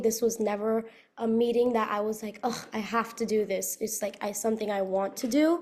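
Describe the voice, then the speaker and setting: A woman with an American accent speaks in a dark, mellow tone at a fairly high pitch, her intonation fairly even. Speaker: recent university graduate. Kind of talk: interview. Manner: fast.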